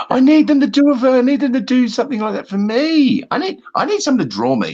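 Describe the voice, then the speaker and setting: A man with an Australian accent speaks fairly quickly, with hardly any pauses. His pitch is extremely high and his tone is dark and mellow. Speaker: talk show guest. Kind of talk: casual chat. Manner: animated.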